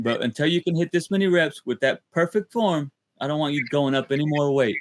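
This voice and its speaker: Lively intonation and a fairly quick pace come through in a dry, close sound with no echo. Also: man. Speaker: podcast host. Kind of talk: casual podcast talk. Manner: upbeat, energetic.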